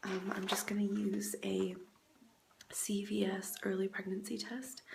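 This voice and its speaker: Over noticeable background noise and audible room echo, a woman with an American accent speaks at a fairly slow pace. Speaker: vlogger. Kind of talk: personal vlog. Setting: grandmother's house, indoors. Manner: hesitant, many fillers.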